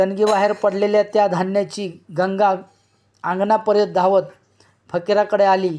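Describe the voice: Against a quiet background, a text is read aloud plainly.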